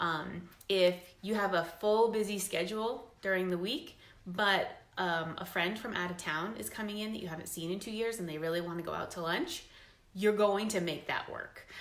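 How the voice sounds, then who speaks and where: A woman at a medium pitch and moderate pace, with ordinary pitch variation and audible room echo. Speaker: fitness business coach. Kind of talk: recruitment pitch talk.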